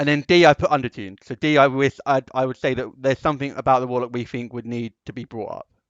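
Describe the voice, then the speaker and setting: A man talks very fast, his loudness rising and falling in big swings. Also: medium pitch for a man. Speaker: tabletop gaming channel host. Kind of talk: casual chat. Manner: halting.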